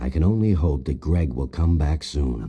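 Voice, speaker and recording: This man uses a put-on character voice. His pitch is very deep and low. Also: moderate pace. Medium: video game. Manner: gruff.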